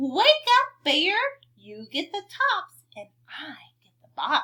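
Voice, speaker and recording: Putting on a character voice, a woman talks at a very slow pace with an extremely high pitch and very wide pitch swings. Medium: read story. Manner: friendly, persuasive.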